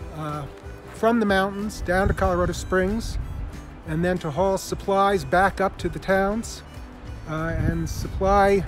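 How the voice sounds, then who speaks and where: High pitch from a man at a very slow pace, fairly even intonation, long frequent pauses and clear music in the background. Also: dry sound with no echo. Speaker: tour host. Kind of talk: casual vlog tour commentary. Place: open country. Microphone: phone near.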